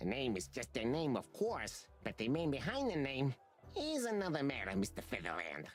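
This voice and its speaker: A put-on character voice at a low-to-middle pitch and moderate pace, over clear background music. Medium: video game. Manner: smooth, calm, guarded.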